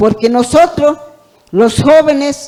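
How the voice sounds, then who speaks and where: A woman's voice at a very slow pace. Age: 60s. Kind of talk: audience comment at panel. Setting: auditorium panel event. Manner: halting.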